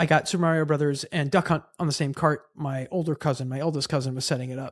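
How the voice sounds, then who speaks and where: A man with a Long Island accent talks at a very fast pace, his pitch fairly high. His intonation stays fairly even, and the sound is dry and close with no echo. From Long Island, New York. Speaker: bass player in a punk band. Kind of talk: casual podcast chat.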